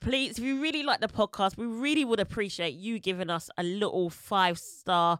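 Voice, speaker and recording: With a British accent, a woman speaks at a moderate pace with hardly any pauses, lively intonation and a fairly high pitch, in a very clean recording with a silent background. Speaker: podcast host. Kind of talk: casual chat.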